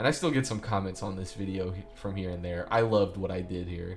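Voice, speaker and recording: Noticeable background noise is heard throughout. A man talks with a fairly low pitch. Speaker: YouTuber. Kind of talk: casual rant about own videos. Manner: fast; animated.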